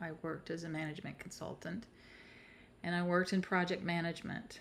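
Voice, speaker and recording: With an American accent, this voice keeps its intonation fairly even. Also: woman. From US South, South Carolina. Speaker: coach and healer, presenter. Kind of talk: online workshop presentation. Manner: casual, with frequent fillers.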